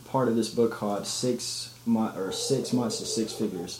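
A man talks at a moderate pace in a room with audible echo, with noticeable noise behind him. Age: 20s. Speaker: podcast co-host. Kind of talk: casual chat.

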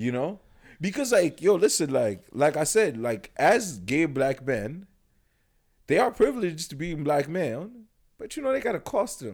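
Very wide pitch swings and vocal fry mark this voice at a moderate pace, captured in a very clean recording with a silent background. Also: man, fairly high pitch for a man. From Cameroon (Yaoundé). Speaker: podcast guest. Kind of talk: casual chat. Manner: animated.

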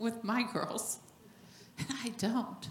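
Noticeable background noise sits behind a woman with a fairly high pitch. She talks at a very slow pace. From New Mexico. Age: 50s. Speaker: minister's wife. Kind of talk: sermon. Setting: church.

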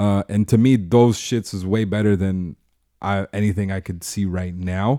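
Dry and close with no echo, a man's dark, mellow voice moves at a moderate pace with fairly even intonation. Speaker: event organizer and podcaster. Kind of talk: casual chat.

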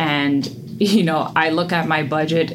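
Over noticeable background noise and audible room echo, a woman talks very slowly in a very deep, low pitch with fairly even intonation. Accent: New York. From US Northeast, the Bronx, New York. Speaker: personal finance coach. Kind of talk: interview.

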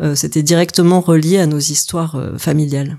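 Calm in tone, a woman speaks with a dark, mellow quality and a fairly even intonation. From Paris region, France. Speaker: photographer. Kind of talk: interview. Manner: halting.

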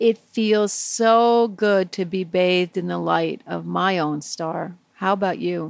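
The tone is soothing, the pace very slow, and there are hardly any pauses. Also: woman. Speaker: meditation teacher. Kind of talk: guided meditation for children. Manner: soft, slow, soothing; gentle, warm, playful.

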